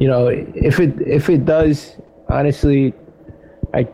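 A man speaks at medium pitch with ordinary pitch variation. Noticeable background noise runs underneath. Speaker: radio host. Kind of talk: casual interview.

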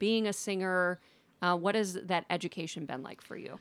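A normal speaking voice from a woman, medium in pitch with ordinary variation, on a very clean recording with a silent background. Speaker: podcast host and singing teacher. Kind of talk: casual interview chat.

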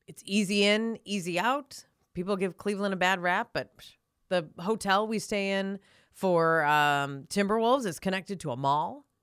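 A woman speaks at a moderate pace in an Upper Midwest accent, her medium pitch moving with lively intonation. Her loudness swings widely on a very clean recording with a silent background. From North Dakota. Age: 40s. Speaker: sports broadcaster. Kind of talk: casual chat.

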